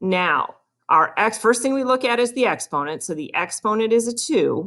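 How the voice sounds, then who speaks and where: Speaking at a moderate pace, a woman with a fairly high pitch uses lively intonation and some vocal fry. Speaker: math teacher. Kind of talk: video lesson.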